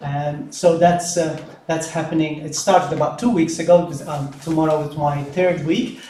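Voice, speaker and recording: A man with a Maltese accent talks at a moderate pace, barely pausing, his pitch fairly high and his intonation fairly even. Audible room echo and noticeable background noise fill the recording. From Malta. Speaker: deacon. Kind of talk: welcome speech at mass. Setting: church. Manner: halting, many fillers.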